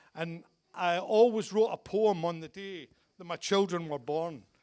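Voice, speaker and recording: A man speaks with a Glaswegian accent on a very clean recording with a silent background. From Scotland, Glasgow. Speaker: father of the bride. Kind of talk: wedding speech. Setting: wedding reception with guests.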